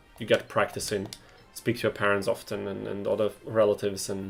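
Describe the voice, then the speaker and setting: With music in the background, a man speaks at a very fast pace in a fairly low pitch, his intonation monotone and flat. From Austria. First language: German (also Bosnian). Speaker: video game streamer. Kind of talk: live gameplay stream chat. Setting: live stream. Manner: casual, with fillers and restarts.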